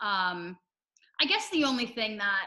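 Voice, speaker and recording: Loud and bright with a sharp tone, a woman speaks at a medium pitch and a moderate pace. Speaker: reality TV contestant. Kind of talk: casual interview.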